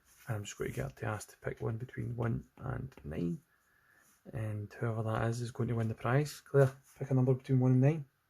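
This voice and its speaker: A man's somewhat breathy, dark, mellow voice at medium pitch, with a Scottish accent and a fairly quick pace. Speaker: digital artist. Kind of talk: casual livestream chat while drawing. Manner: monotone.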